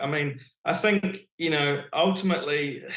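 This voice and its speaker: The speaker is a man. He talks with a New Zealand accent. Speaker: real estate agent. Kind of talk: interview answer.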